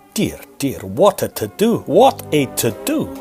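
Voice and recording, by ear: Faint music plays behind a man doing a put-on character voice, dark and mellow with a husky, rough edge, medium in pitch, at a fairly slow pace with very wide pitch swings.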